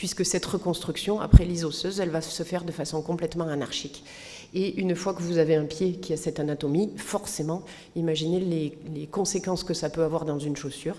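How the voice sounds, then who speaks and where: Monotone, flat intonation at a fairly quick pace. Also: woman, fairly low pitch for a woman. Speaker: physician. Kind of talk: lecture.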